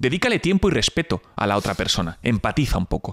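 Speaking fairly quickly, a man with a fairly high pitch swings his pitch very widely, with vocal fry and a dry, close sound that has no echo. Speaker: entrepreneur. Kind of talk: casual interview.

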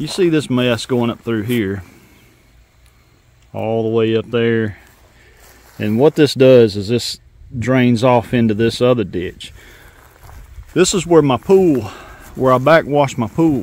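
A man speaks at a fairly slow pace with ordinary pitch variation. The sound is dry with no echo, and his pauses are long and frequent. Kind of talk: casual vlog chat. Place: open country. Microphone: phone near.

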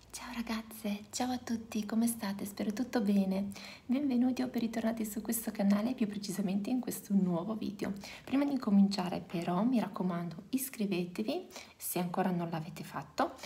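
Soft-spoken and fairly quick, a woman talks with ordinary pitch variation. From Reggio Emilia, northern Italy; Italy. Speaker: youtuber, mother of four; youtuber. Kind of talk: casual vlog. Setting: at home. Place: home room. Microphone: phone near.

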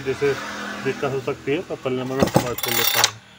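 Faint background noise behind a man at medium pitch, his intonation fairly even.

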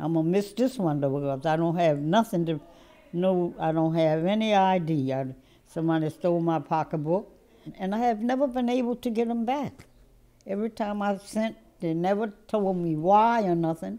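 A woman speaks with a fairly low pitch and lively intonation. Her tone is dark and mellow. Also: moderate pace. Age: 80s+. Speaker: voting rights plaintiff. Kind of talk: interview answer. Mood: indignant but warm. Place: office. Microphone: lapel.

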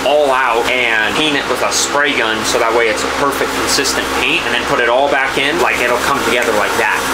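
The man talks at a fairly quick pace while loud background noise fills the recording. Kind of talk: casual vlog chat. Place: street. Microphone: phone near.

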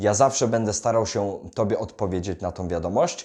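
Against a quiet background, a man talks. His pace is moderate. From Poland, Greater Poland (Wolsztyn). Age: 20s. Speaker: self-development YouTuber and salesman. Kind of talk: direct-to-camera vlog monologue.

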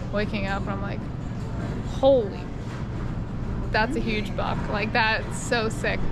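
There is music behind her. The woman talks at a fairly slow pace. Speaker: travel vlogger. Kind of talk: casual vlog chat. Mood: amused, laughing storytelling. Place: station. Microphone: phone near.

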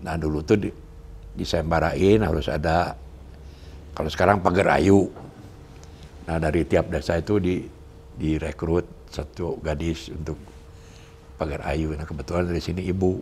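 There is light background noise as a man with a very deep, low voice speaks in fairly even intonation, pausing long and often. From Majalaya, West Java, Indonesia; West Java, Indonesia. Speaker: son of a national historical figure, interviewee; interviewee. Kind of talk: interview. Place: home room. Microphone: lapel.

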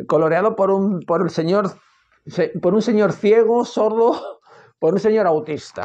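Against a quiet background, a man is talking. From Spain. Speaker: comics youtuber; comics reviewer. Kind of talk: casual monologue. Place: home room. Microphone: earbuds.

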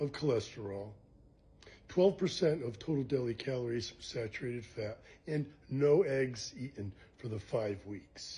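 A man speaks at a fairly slow pace. His voice is somewhat breathy, with a dark, mellow tone. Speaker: nutrition educator. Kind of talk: explainer talk to camera. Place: kitchen. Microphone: phone near.

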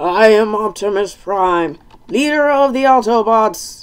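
Here a man puts on a character voice pitched high. His pace is fairly slow. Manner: impression, judged a bad one.

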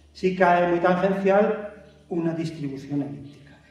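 A man at a fairly slow pace amid audible room echo. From Spain, León. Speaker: meteorite hunter and science communicator. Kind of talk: public lecture. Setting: stage with audience. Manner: animated. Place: hall.

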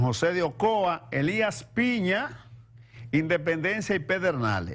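A man talks at a very slow pace, his pitch swinging very widely. The background is quiet. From Dominican Republic. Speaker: TV talk show host. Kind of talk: TV news commentary.

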